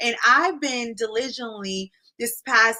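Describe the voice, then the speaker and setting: A woman speaks with a Spanish accent in an animated tone that sounds bright and sharp. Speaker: business coach and content creator. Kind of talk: live tutorial. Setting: livestream.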